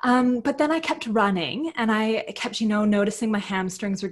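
Her pitch rises and falls in a normal way. This voice belongs to a woman. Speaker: podcast guest. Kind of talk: interview answer. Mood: warm, cheerful. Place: home room. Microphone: earbuds.

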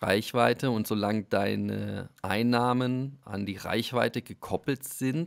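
Very slowly, a man delivers his words. His pitch is medium and varies in an ordinary way. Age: 40s. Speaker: football club media staff. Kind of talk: casual chat. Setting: remote call.

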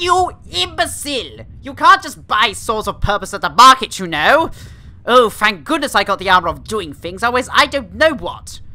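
A female-sounding put-on character voice at fairly high pitch moves at a moderate pace. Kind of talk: comic overacting. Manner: pompous, bossy, indignant.

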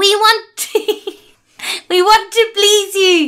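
A put-on character voice shouts at an extremely high pitch with a nasal sound. It drags along at a very slow pace. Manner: screaming.

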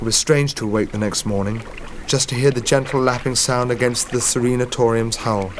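The voice reads in a natural way.

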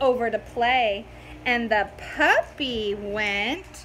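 A woman speaks slowly with a bright, sharp tone, fairly high pitch and big pitch swings.

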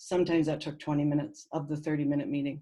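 A woman speaks with a dark, mellow tone. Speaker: teacher. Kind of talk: presentation.

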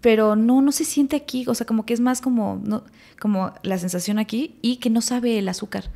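Somewhat breathy, a woman speaks at a moderate pace. Her fairly high pitch shows ordinary variation. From Mexico City and Morelos; Mexico City, Mexico. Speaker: actress. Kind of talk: casual chat. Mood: reflective, personal. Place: studio. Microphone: studio mic.

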